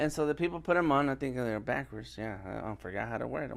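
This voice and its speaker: A man speaks with a fairly high pitch. His tone is animated, bright and sharp. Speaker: live streamer and illustration instructor. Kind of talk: tutorial. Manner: loud.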